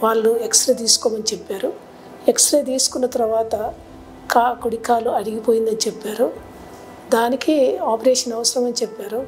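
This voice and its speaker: Over music in the background, a woman with a fairly high voice talks with fairly even intonation. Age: 70s. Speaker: nun, knee replacement patient. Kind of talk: patient testimonial.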